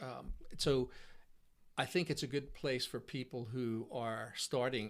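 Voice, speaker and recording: This man's voice sits at a medium pitch. The recording is very clean with a silent background. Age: 60s. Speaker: musician. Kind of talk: casual chat. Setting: in-person interview. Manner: halting.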